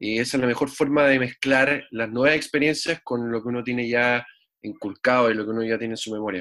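A man talks at a fairly quick pace with fairly even intonation. His tone is bright and sharp. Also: medium pitch for a man. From Chile. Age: 30s. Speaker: musician. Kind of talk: casual interview. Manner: halting, repeats words.

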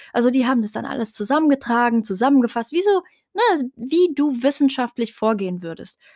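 A woman's high-pitched voice, moderately paced with ordinary pitch variation, comes through a very clean recording with a silent background. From Germany, Heidelberg. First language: Tarifit (speaking German). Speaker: podcast host. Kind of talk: solo monologue podcast. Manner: casual, many filler sounds.

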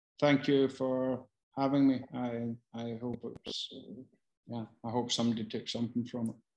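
This speaker has a strong Glasgow accent and a moderate pace. The intonation stays monotone and flat while the loudness swings widely. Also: man, medium pitch for a man. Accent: strong Glasgow Scottish. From Scotland. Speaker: casting director. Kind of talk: online Q&A session. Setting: video call. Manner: casual, sweary, self-deprecating; halting, hesitant delivery.

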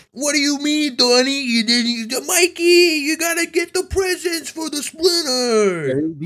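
Man in a put-on character voice with a New York accent, extremely high pitch, fairly slow pace. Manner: exaggerated.

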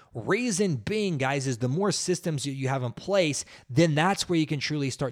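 At a moderate pace, a man with a fairly high voice, energetic tone and lively intonation is heard in a very clean recording with a silent background. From Oklahoma, US. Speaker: fitness business podcast host. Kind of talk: solo podcast monologue. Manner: energetic, motivational.

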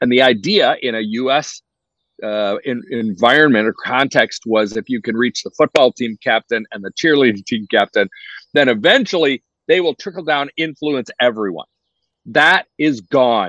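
A man with an American accent, bright, sharp tone and lively intonation, in a dry, close sound with no echo against a quiet background. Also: medium pitch for a man, moderate pace. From US. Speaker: youth ministry leader. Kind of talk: interview conversation.

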